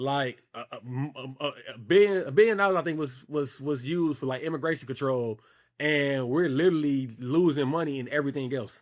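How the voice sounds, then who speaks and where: The recording is very clean, with a silent background. A man with a fairly high pitch and ordinary pitch variation talks at a fairly quick pace. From Chicago, East Side. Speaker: youth mentor. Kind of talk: casual chat.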